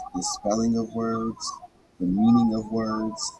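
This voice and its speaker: With noticeable background noise behind him, a man talks at a fairly slow pace. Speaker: podcast host reading a book aloud. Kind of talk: casual talk aside. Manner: halting, with repetitions and stumbles.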